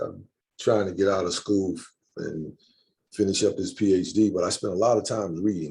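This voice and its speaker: Fairly quick speech from a man with a dark, mellow tone and fairly even intonation. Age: 60s. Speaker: community speaker introducing a politician. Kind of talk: panel discussion and speaker introduction.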